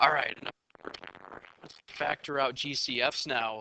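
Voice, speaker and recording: Recorded with a dry, close sound and no echo, a man speaks at a moderate pace with a fairly high pitch. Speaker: high school math teacher. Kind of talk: tutorial. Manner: animated.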